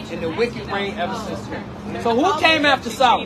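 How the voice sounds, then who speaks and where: Amid crowd noise and audible room echo, a man speaks in a raised, projected voice with lively intonation. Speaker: street preacher. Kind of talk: street preaching debate. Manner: loud.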